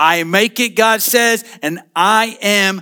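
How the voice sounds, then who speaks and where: A man speaks with a raised, projected voice that is high for a man, his tone bright and sharp and his pitch varying in an ordinary way. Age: 50s. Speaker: pastor. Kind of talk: sermon.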